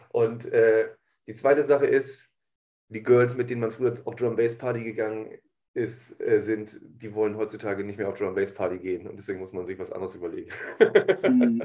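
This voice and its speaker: This man's voice is medium in pitch, with a dark, mellow tone and fairly even intonation. He talks at a fairly quick pace, and his loudness swings widely. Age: 40s. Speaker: podcast host. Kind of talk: casual chat.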